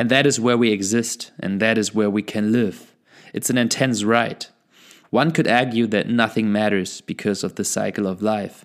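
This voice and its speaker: In a very clean recording with a silent background, a man speaks at medium pitch and a moderate pace with fairly even intonation, an ordinary speaking voice. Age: 20s. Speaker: podcast host. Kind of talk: personal monologue. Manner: reflective.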